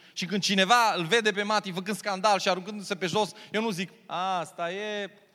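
A man projects a raised voice, high in pitch, with a bright, sharp tone. He sounds animated and keeps a moderate pace. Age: 40s. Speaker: pastor. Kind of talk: sermon.

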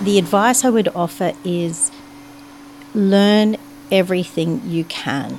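Noticeable background noise sits under a woman with an Australian accent and a medium pitch. She speaks at a very slow pace, with lively intonation and long, frequent pauses. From Brisbane, Australia. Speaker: chartered accountant. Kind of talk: interview monologue.

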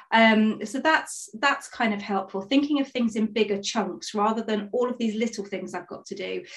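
In an East Midlands accent, a woman talks at a moderate pace with hardly any pauses. Her pitch is fairly high, with ordinary variation. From Nottingham, England. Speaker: performance consultant. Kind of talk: interview.

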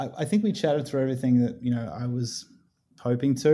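A man with an Australian accent, dark and mellow in tone, with ordinary pitch variation. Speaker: guest, father of a baby. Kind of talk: casual chat.

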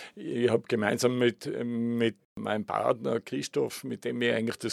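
Recorded with a dry, close sound and no echo, a man speaks at a moderate pace in a Tyrolean accent. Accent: Tyrolean Austrian German. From Tyrol, Austria (Innsbruck). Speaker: tourism consultant. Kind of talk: interview. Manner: repetitive, halting restarts.

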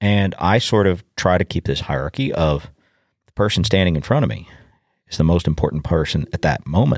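With an American accent, a man speaks with a very deep, low pitch, vocal fry and lively intonation, recorded very cleanly against a silent background with a dry, close sound and no echo. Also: fairly quick pace. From US, suburban. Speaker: podcast host, farmer. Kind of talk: casual solo monologue.

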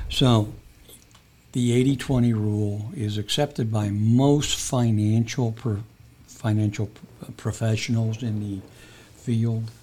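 Somewhat breathy and at a very slow pace, a man speaks at a medium pitch with fairly even intonation and long, frequent pauses. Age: 70s. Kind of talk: casual interview.

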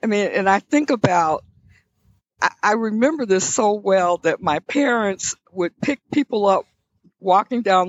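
With an American accent, the speaker delivers words at a fairly slow pace. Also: woman. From US South, Alabama. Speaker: leadership studies professor emerita. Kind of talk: interview conversation. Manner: animated.

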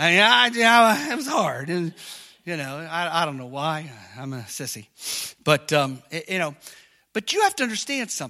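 At a moderate pace, a man speaks in a bright, sharp, high-pitched voice, with big swings in loudness and very wide pitch swings. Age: 50s. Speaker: pastor. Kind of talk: sermon. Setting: church. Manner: animated.

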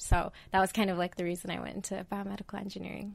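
In a very clean recording with a silent background, a woman with a General American accent speaks very fast in a fairly low, monotone, flat voice with vocal fry. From Idaho. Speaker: biomedical engineering student. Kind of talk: interview.

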